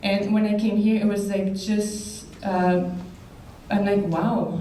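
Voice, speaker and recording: In a Quebec accent, a woman with a medium pitch speaks at a very slow pace amid audible room echo. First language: French. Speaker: basketball player, hall of fame inductee. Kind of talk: acceptance speech. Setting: banquet hall with audience. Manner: halting.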